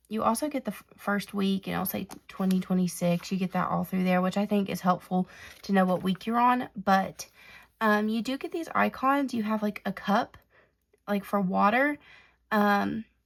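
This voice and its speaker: A woman speaks in a medium pitch with a somewhat breathy sound. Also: ordinary pitch variation, moderate pace. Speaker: planner and stationery YouTuber. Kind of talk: product flip-through tutorial. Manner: casual, halting with fillers.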